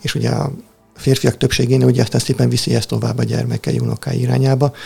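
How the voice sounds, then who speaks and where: Music in the background behind a man speaking at a fairly quick pace. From Hungary, Tihany (Lake Balaton). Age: 40s. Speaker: spiritual practitioner and volunteer helper. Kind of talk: casual interview chat.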